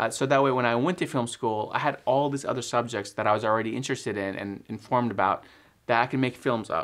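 Speaking at a very fast pace with an American accent, a man uses a medium pitch and ordinary pitch variation. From Texas suburbs. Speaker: filmmaker and video editor. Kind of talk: casual vlog talk to camera. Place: home room.

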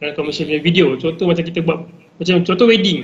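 Here a man talks with high pitch and fairly even intonation. His pace is very fast. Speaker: videographer and editor. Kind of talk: casual tutorial talk. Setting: live stream on social media.

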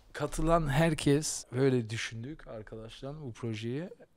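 A man's very slow speech with ordinary pitch variation. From Germany, Berlin; Germany. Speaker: podcast host. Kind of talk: casual chat. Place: studio. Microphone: studio mic.

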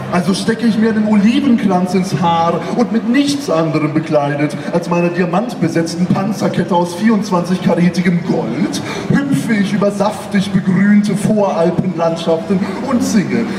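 A man speaks at a moderate pace with a high pitch and ordinary pitch variation. Noticeable background noise is present. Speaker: slam poet. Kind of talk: poetry slam performance. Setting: live stage. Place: stage. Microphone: camera far.

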